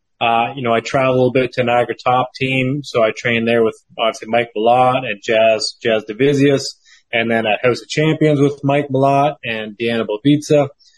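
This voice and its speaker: In a Canadian accent, a man with a plain, everyday voice speaks at a fairly quick pace and medium pitch, his intonation fairly even and the sound dry and close with no echo. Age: 30s. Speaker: professional MMA fighter.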